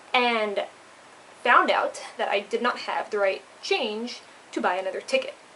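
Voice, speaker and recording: Lively intonation and a moderate pace come through noticeable background noise. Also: woman. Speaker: vlogger, intern abroad. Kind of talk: casual vlog storytelling. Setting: indoors at a share house at night.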